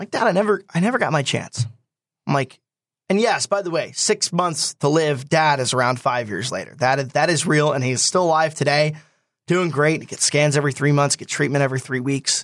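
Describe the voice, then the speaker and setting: Against a quiet background, a man with an American accent talks in an ordinary speaking voice at a fairly quick pace, with a fairly high pitch and ordinary pitch variation. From New Jersey, Swedesboro. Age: 20s. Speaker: stock car racing driver. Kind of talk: interview. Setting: studio.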